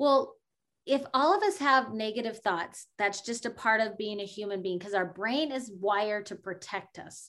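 A woman speaks at a moderate pace with a fairly high pitch and ordinary pitch variation, in a plain, everyday voice. Her loudness swings widely, and the recording is very clean with a silent background. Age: 40s. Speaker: life coach and podcaster. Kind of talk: interview conversation.

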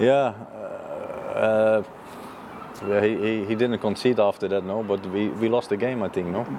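A man with a Dutch accent speaks at a fairly low pitch in a monotone, flat intonation, with big swings in loudness. Long, frequent pauses break up his speech over noticeable background noise. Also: moderate pace. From Netherlands. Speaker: football goalkeeper coach. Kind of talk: interview. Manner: halting.

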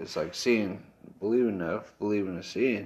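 Fairly low in pitch with ordinary pitch variation, a man speaks in a plain, everyday voice with an American accent. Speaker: podcast co-host. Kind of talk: casual chat.

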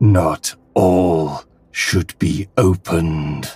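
A man uses a put-on character voice. It is booming, with a very deep, low pitch. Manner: portentous, warning.

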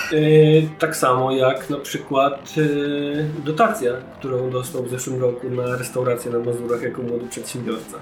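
With audible room echo, a man talks while music plays behind him. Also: medium pitch for a man, fairly even intonation, moderate pace, hardly any pauses. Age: 30s. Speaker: podcast host. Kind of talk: casual chat.

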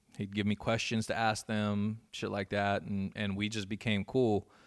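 A man with an American accent, fairly low pitch and a normal speaking voice at a moderate pace, in a very clean recording with a silent background. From Inland Empire, California. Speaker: DJ. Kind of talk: casual chat. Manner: laid-back, slangy.

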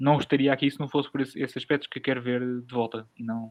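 A man with a European Portuguese accent speaks at a fairly quick pace and medium pitch in a monotone, flat intonation. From rural Portugal. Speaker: podcast host. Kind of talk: casual chat.

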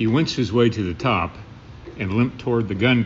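A natural reading voice carries the whole clip.

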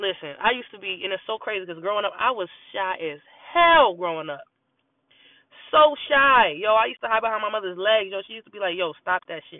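At a very fast pace, a woman with a medium pitch speaks in an animated tone, her intonation lively and her loudness swinging widely. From US East Coast, born in North Carolina. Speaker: podcast host. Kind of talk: casual monologue. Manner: animated, talkative.

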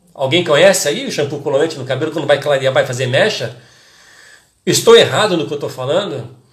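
Amid audible room echo, a man talks at a fairly quick pace in an animated tone, with long, frequent pauses. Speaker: hairdressing educator and podcast host. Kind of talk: casual live-stream talk to followers.

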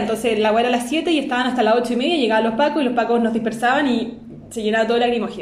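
A woman's fairly high voice in a Chilean accent, with noticeable background noise and audible room echo. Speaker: podcast co-host. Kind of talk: casual chat. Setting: guest's home.

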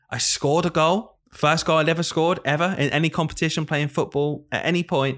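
This man speaks with a northern English accent at a fairly quick pace. The recording is very clean, with a silent background. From northern England. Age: 20s. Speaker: primary school teacher and podcast host. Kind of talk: casual chat.

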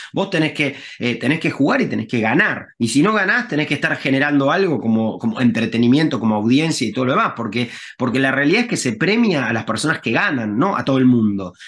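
The speaker has a Rioplatense accent and lively intonation. The delivery is very fast. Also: man, medium pitch for a man. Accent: Argentine Rioplatense Spanish. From Argentina, Rosario. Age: 40s. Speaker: tech entrepreneur, game company CEO. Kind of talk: casual interview.

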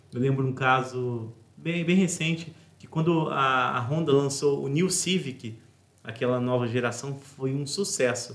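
Amid noticeable background noise and audible room echo, a man speaks at a fairly slow pace with big swings in loudness. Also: medium pitch for a man, ordinary pitch variation. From Brazil, Resende (Rio de Janeiro state). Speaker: podcast host, entrepreneur. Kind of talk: interview conversation.

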